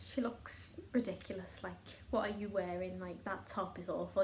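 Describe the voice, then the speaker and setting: A woman speaks with a Liverpool accent at a moderate pace. Audible room echo surrounds her voice. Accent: Scouse (Liverpool). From northern England, Liverpool. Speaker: craft vlogger. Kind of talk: casual chat.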